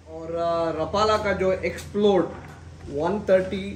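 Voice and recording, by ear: In a room with audible echo, a man with a high pitch speaks at a slow pace with fairly even intonation.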